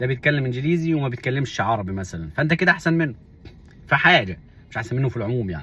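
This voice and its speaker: Speaking very fast with lively intonation, a man with an Upper Egyptian accent talks at a medium pitch. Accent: Upper Egyptian (Saidi) Arabic, unchanged. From Upper Egypt (Minya). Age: 40s. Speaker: vlogger. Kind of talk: casual monologue.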